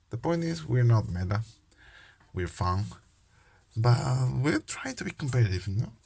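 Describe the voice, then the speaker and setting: Somewhat breathy male speech in a non-native accent, with lively intonation and long, frequent pauses. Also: medium pitch for a man, moderate pace. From Peru. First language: Spanish. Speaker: trading card game youtuber. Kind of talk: casual vlog talk. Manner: halting, many fillers.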